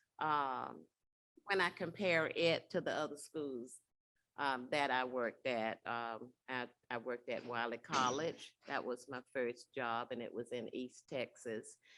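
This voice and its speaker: A woman's very deep, low voice with a bright, sharp tone, ordinary pitch variation and a fairly slow pace, in a Southern US accent. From Alabama. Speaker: college staff member. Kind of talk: panel interview. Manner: hesitant, many fillers.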